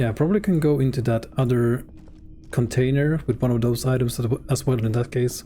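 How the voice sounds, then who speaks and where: A man speaks with a non-native accent, somewhat breathy. His pitch varies in an ordinary way, and his loudness is very even. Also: medium pitch for a man, fairly quick pace. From Sweden. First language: Swedish. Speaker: game streamer. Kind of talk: live gameplay commentary. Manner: casual, reading game text aloud.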